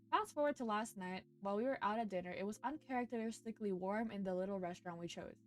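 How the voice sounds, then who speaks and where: With an animated tone and lively intonation, the voice races along at a very fast pace. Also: woman. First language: not English. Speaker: streamer. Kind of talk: reading aloud with commentary. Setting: live stream.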